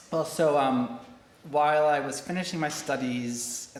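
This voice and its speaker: A man with an American accent talks at a moderate pace with ordinary pitch variation. Audible room echo and noticeable background noise fill the recording. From United States. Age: 40s. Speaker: corporate learning director. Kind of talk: interview.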